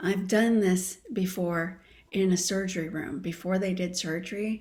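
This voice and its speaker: A calm woman speaks at a fairly slow pace in a somewhat breathy, medium-pitched voice with fairly even intonation. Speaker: coherence practice teacher. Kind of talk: guided practice and teaching conversation. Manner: slowed, calm pace.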